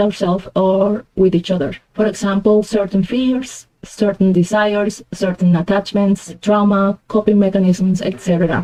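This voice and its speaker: With a Spanish accent, a woman speaks at a moderate pace in a medium pitch with a dark, mellow tone. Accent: Spanish accent, noted by herself. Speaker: tarot reader. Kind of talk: tarot reading.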